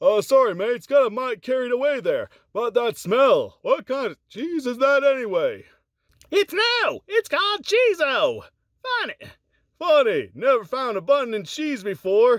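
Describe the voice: A man speaks at a moderate pace in a put-on character voice. The pitch is extremely high.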